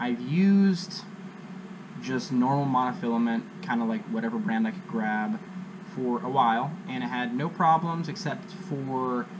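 A man speaks at a fairly slow pace, and noticeable background noise can be heard. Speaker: angler vlogger. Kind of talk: casual vlog chat. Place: garage. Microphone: camera far.

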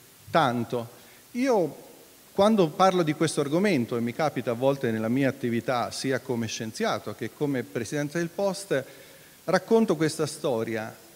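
With a normal speaking voice, a man talks at a moderate pace, his pitch fairly high and his intonation lively. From Italy. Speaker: foundation president and moderator; moderator. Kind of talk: event introduction and moderation. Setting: hall with live audience. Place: hall. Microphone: handheld.

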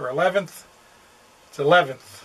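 With ordinary pitch variation, a man speaks in a high-pitched voice. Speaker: RV travel vlogger. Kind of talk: casual vlog chat. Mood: quiet, others asleep. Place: home room. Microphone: phone near.

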